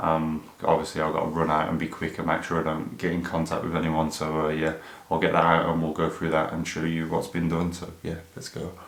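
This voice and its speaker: A man mumbles in an English accent at a fairly quick pace, his pitch very deep and low. His intonation stays monotone and flat, with audible room echo. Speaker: car YouTuber. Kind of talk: casual vlog. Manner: mumbling.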